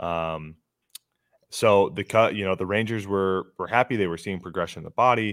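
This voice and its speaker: Speaking at a fairly quick pace, a man with an American accent has a very deep, low pitch and fairly even intonation. The sound is dry and close with no echo. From Metro Detroit, Michigan. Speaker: baseball pitcher and podcaster. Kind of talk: casual interview chat. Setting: remote call. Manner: casual, conversational.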